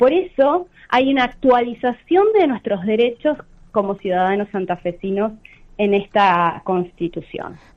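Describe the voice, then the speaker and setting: A woman speaks at a fairly slow pace in a fairly high voice. Her intonation is lively. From Argentina, Santa Fe province. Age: 30s. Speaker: lawyer. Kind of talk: radio interview. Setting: phone call.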